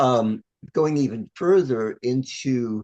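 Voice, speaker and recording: A man with an American accent speaks at a very slow pace in a medium pitch. The sound is dry and close with no echo. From US, New York City. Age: 70s. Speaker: astrologer. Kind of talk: interview. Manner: halting.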